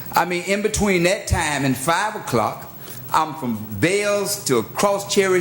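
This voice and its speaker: A man with an American accent speaks in a high, animated voice at a fairly slow pace, with ordinary pitch variation, audible room echo and noticeable background noise. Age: 60s. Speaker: clergyman speaking at public comment. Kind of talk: public comment at city meeting. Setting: city commission chambers.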